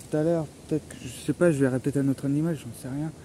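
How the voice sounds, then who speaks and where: A soft-spoken man talks at a very fast pace. His voice sits fairly high, with fairly even intonation. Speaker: solo explorer vlogger. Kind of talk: outdoor vlog narration. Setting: outdoors in a forest. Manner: halting.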